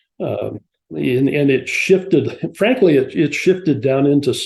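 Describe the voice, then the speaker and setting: Against a quiet background, a man speaks with a fairly high pitch and ordinary pitch variation. His tone is dark and mellow, and somewhat breathy. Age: 70s. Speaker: scholar of Mesoamerica. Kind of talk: interview. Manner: hesitant, many fillers.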